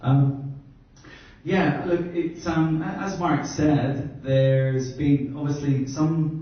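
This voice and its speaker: Speaking at a fairly slow pace with an Irish accent, a man with a fairly high pitch keeps a fairly even intonation amid noticeable background noise and audible room echo. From Ireland. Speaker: brand consultant. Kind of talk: workshop presentation.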